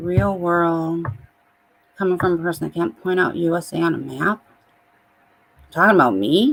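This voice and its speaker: With a Midwestern accent, the speaker goes at a moderate pace with lively intonation and long, frequent pauses. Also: woman, fairly low pitch for a woman. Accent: Midwest. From US Midwest. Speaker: livestreamer. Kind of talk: casual chat.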